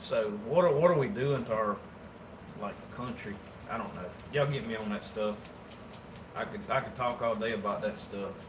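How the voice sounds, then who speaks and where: Taking long, frequent pauses, a man in a Southern US accent speaks amid noticeable background noise and audible room echo. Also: medium pitch for a man, ordinary pitch variation, moderate pace. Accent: Southern US rural. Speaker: taxidermist. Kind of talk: casual livestream chat while working. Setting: livestream. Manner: casual, colloquial.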